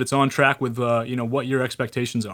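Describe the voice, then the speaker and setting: The recording is very clean, with a silent background. Intonation stays fairly even. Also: man. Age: 30s. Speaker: financial advisor. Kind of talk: casual chat. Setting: studio.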